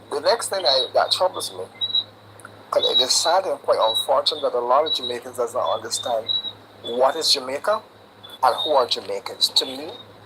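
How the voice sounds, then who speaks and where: The speech moves at a fairly quick pace but breaks into long, frequent pauses, with noticeable background noise throughout. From Barbados. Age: 60s. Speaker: caller. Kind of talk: live stream call-in.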